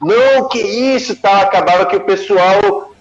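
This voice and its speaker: A man speaks very slowly with lively intonation while music plays in the background. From Brazil, Rio de Janeiro then Pernambuco. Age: 40s. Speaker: surfer and wave forecasting expert. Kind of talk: casual interview. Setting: live stream.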